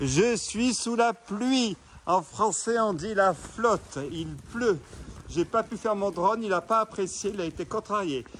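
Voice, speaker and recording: A man with a high voice speaks very slowly, his pitch varying in an ordinary way. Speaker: urban explorer vlogger. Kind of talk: walking tour vlog. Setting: outdoors in the rain. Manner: loud.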